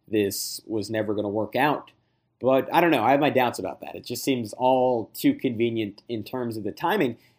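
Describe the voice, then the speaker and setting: Recorded very cleanly against a silent background, a man with a normal speaking voice talks at medium pitch and a moderate pace. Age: 30s. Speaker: sports podcaster covering a basketball team. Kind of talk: casual chat.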